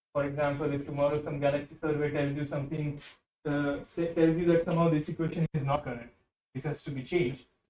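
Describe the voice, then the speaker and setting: A dark, mellow voice moves at a fairly quick pace. Audible room echo and light background noise surround it. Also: man. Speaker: physics lecturer. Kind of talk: lecture. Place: classroom.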